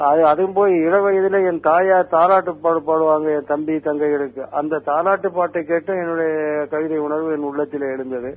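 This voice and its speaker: He has a normal speaking voice at a fairly high pitch. His intonation stays fairly even. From Tamil Nadu, Sivaganga district village. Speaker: film lyricist. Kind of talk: interview storytelling.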